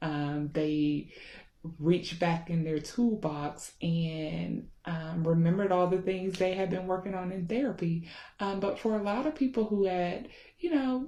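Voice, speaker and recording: At a moderate pace, a woman speaks with a fairly low pitch and a dark, mellow tone. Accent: Southern US. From US South, Georgia. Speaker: therapist. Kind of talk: casual talk to camera. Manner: informal with many filler ums.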